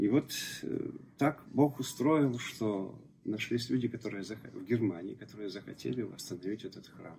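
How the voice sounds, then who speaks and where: This man's voice is somewhat breathy, with a dark, mellow tone and big swings in loudness. He talks at a moderate pace with ordinary pitch variation and long, frequent pauses, over light background noise. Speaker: church deacon and local author. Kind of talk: interview answers. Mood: calm, storytelling. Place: cafe.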